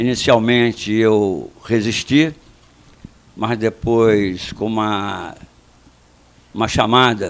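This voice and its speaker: A man speaks with a medium pitch. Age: 80s+. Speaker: retired general, mayoral candidate. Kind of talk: radio interview.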